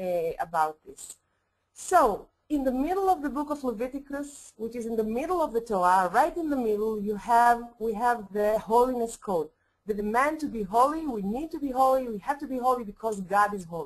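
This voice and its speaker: A woman with a non-native accent talks at a fairly quick pace in a fairly high pitch, her intonation lively and her loudness swinging widely. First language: Hebrew. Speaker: rabbi and professor. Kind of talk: lecture. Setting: webinar. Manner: halting, many fillers.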